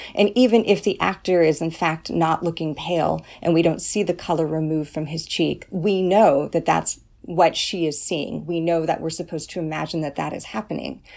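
A woman with an American accent talks at a moderate pace with hardly any pauses, her fairly low voice showing vocal fry and fairly even intonation. The recording is very clean, with a silent background. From California. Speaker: English professor. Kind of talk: interview. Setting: office.

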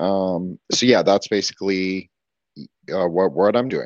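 A man with an American accent talks with fairly even intonation. The sound is dry and close with no echo, over a quiet background. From Toronto, Canada. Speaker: podcast guest. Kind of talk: casual chat.

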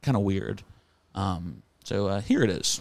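A man speaks in a normal speaking voice at a fairly slow pace. His pitch is fairly low with ordinary variation, and the recording is very clean with a silent background. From Florida. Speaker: comedy podcast host. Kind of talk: casual chat.

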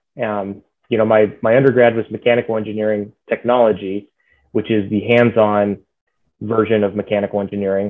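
A man speaks at a moderate pace with a fairly low pitch. His intonation stays monotone and flat. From Texas (Dallas area). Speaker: aerospace engineer. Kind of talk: interview.

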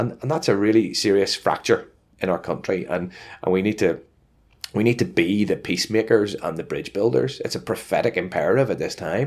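A man with a Northern Irish accent speaks at a fairly quick pace with a fairly low pitch and lively intonation, in a very clean recording with a silent background. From Northern Ireland. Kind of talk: interview. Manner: halting, many fillers and repetitions.

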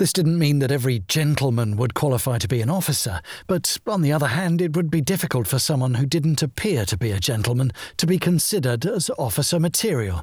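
Somewhat breathy speech moves at a fairly quick pace with very wide pitch swings, recorded very clean over a silent background. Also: man. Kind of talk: memoir audiobook reading, first-person wartime recollection. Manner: measured, wry, dry humour, storytelling.

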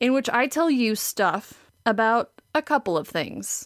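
A woman speaks with a Wisconsin accent and lively intonation at a fairly high pitch. The sound is dry and close, with no echo. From Wisconsin, Green Bay. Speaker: podcast host, art history PhD student. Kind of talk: scripted narration.

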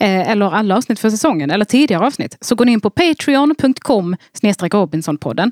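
Recorded dry and close with no echo, a woman with an unremarkable speaking voice talks at medium pitch and a fairly quick pace, her intonation lively. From Skåne, southern Sweden (Bjärnum). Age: 30s. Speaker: comedian and podcaster. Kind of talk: casual chat.

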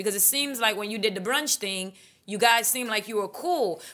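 With an American accent, a woman talks at a moderate pace in a fairly high pitch. Her tone is bright and sharp, with ordinary pitch variation. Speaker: podcast host. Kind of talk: casual interview chat.

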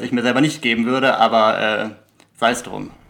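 Talking at a fairly quick pace, a man keeps a medium pitch and a monotone, flat intonation. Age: 20s. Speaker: law student and podcast host. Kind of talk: interview. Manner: halting with frequent fillers.

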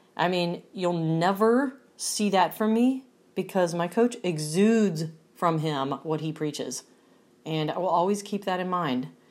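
A woman with an ordinary speaking voice talks at a fairly low pitch and a fairly slow pace, her intonation lively. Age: 40s. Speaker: pro fitness competitor. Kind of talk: personal testimony monologue.

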